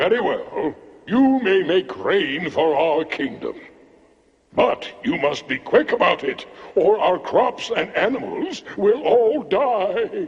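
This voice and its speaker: At a fairly slow pace, a man performs a cartoonish character voice at an extremely high pitch. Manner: theatrical, exclamatory.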